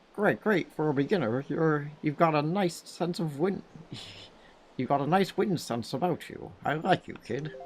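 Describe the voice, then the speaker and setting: The speaker uses a croaky put-on character voice at a middle pitch and a moderate pace. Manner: friendly, encouraging.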